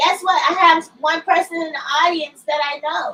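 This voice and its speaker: An extremely high-pitched woman's voice, bright, sharp and projected, at a very slow pace with ordinary pitch variation. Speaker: YouTube livestreamer reading a book. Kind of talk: casual livestream chat before reading aloud. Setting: live stream.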